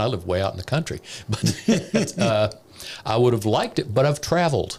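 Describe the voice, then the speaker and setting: Somewhat breathy, the voice moves at a fairly quick pace with very wide pitch swings. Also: man. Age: 60s. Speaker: former economic development director. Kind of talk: casual chat.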